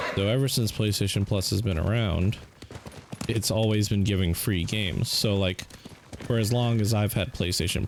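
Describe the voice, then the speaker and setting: A man with a fairly low pitch talks while noticeable background noise carries on behind him. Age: 30s. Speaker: gaming streamer. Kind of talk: casual chat.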